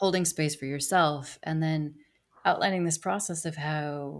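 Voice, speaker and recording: Calm in tone, a woman speaks in a very deep, low voice with fairly even intonation. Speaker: podcast host. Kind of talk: podcast interview, nurturing conversation. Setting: remote video call. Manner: calm, slow-paced.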